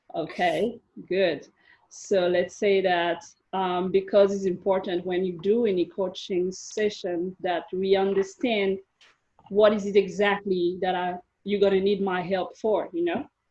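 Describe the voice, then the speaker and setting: With a non-native accent, a woman speaks at medium pitch in a monotone, flat intonation. Her pace is fairly slow. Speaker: life coach. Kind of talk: coaching session interview.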